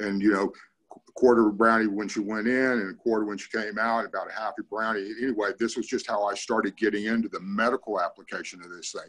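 With an American accent, a man talks at a very fast pace in a fairly low pitch. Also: big swings in loudness. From Northern California. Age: 60s. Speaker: cannabis grower and army veteran. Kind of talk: casual group discussion. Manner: animated.

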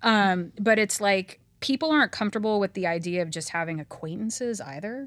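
An unremarkable speaking voice with lively intonation, captured in a very clean recording against a silent background. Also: woman, medium pitch for a woman. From Los Angeles, US. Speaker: working mother and lawyer. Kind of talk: casual chat.

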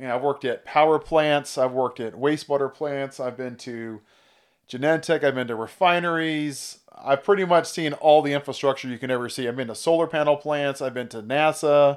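On a very clean recording with a silent background, a man with an American accent and an unremarkable speaking voice talks at a fairly quick pace, his fairly high pitch staying fairly even. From California. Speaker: business partner and operations manager. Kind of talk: casual chat.

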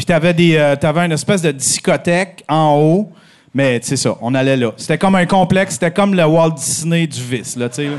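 At a moderate pace, a man talks in a normal speaking voice, fairly high in pitch with ordinary pitch variation. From Abitibi-Témiscamingue, Quebec. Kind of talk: casual chat. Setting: stage with live audience.

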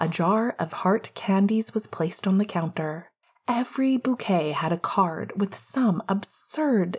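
Someone reads aloud in a natural voice here.

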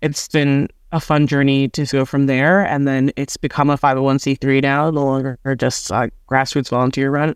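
The delivery is monotone and flat, with very even loudness and an American accent. The background is quiet. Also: woman, very deep, low pitch for a woman, moderate pace. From New Jersey. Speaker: museum nonprofit deputy director. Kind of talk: podcast interview.

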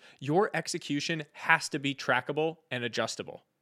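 Over a silent background in a very clean recording, a man with an ordinary speaking voice talks at a fairly slow pace. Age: 30s. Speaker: podcast host. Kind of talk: scripted narration.

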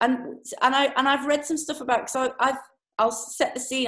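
A woman speaks with a British accent. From UK. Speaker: podcast host. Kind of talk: interview. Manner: animated.

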